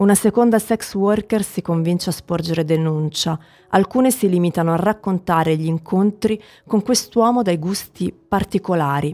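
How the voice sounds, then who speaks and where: A woman speaks in a solemn, dark and mellow tone at a medium pitch and moderate pace, with ordinary pitch variation. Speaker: podcast narrator. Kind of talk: true-crime narration, scripted and read aloud. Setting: studio. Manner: grave, measured, solemn.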